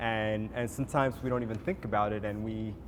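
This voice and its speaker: A man with an Ethiopian accent, moderate pace and fairly even intonation. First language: Amharic. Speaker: visual artist. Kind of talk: panel discussion. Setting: gallery event with audience. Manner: halting, many fillers and repetitions.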